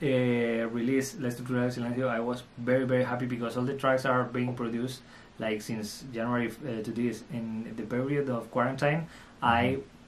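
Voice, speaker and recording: A man in a Spanish accent talks at a fairly quick pace and medium pitch with monotone, flat intonation. Audible room echo fills the recording. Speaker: electronic music producer and DJ. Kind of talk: interview. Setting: studio. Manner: halting.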